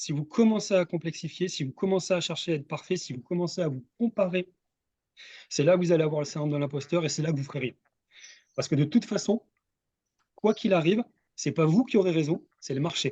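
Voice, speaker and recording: The speaker's energetic tone moves at a fairly quick pace, broken by long, frequent pauses. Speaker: business coach for coaches. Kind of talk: live webinar presentation. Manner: fast.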